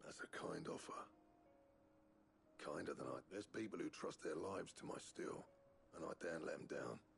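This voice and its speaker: Using a put-on character voice, a man sounds raspy at a moderate pace with long, frequent pauses, over clear background noise. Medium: video game. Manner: gruff, plainspoken.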